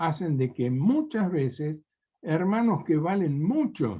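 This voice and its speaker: A man talks very slowly, his voice somewhat breathy. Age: 70s. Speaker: preacher. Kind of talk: sermon.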